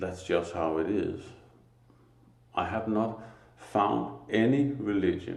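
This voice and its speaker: Slowly and with a Danish accent, a man speaks in a fairly low pitch and a dark, mellow tone, with audible room echo around him. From Denmark. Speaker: spiritual teacher. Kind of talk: religious monologue. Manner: halting, pauses to find words.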